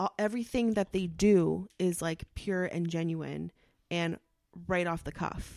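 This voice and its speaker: This woman has a normal speaking voice, fairly low in pitch with fairly even intonation, delivered at a fairly slow pace in a dry, close sound with no echo. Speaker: podcast host. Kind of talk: casual chat.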